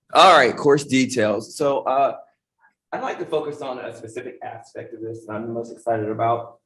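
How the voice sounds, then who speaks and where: A man's loudness swings widely, with audible room echo around him. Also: moderate pace. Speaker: college dean of science. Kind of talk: conference panel presentation. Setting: event room with audience, no mic. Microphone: no microphone, speaking unamplified.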